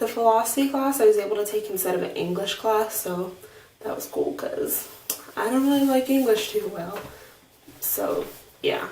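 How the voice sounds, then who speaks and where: Room echo and noticeable background noise surround the recording. A woman speaks quietly. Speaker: vlogger. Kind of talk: video diary. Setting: home bathroom. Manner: hesitant, many fillers.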